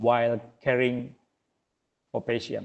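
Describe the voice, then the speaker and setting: Man with an Indonesian accent at a fairly slow pace. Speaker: webinar speaker. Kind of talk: presentation. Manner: halting.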